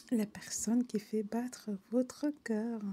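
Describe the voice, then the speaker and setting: A woman with a non-native accent speaks in a fairly high, somewhat breathy voice with a dark, mellow tone and flat, monotone intonation. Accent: non-native French accent, admits it. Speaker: online French vocabulary teacher. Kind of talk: reading dictionary entries aloud with casual asides. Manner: halting, many fillers.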